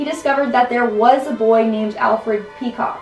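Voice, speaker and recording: Over faint background music, a woman speaks at a moderate pace with audible room echo. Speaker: countdown video host. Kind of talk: commentary. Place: home room.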